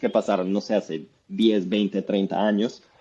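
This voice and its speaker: A dark, mellow tone in a Colombian accent at a fairly quick pace. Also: man. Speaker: economics professor. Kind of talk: interview.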